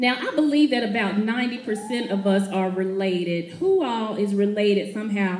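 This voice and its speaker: A woman talks at a moderate pace in an upbeat tone, her medium-pitched voice showing ordinary pitch variation over noticeable background noise. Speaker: motivational speaker. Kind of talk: live speech to an audience. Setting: event hall, live audience. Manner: humorous, upbeat.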